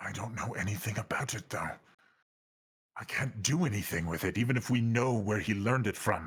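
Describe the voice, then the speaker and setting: A man puts on a character voice at medium pitch. He speaks at a fairly quick pace. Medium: actual play. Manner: measured, grave.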